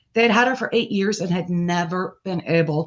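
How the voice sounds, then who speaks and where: Her pitch medium, a woman with an unremarkable speaking voice talks at a moderate pace with lively intonation. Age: 60s. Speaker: author. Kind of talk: casual chat.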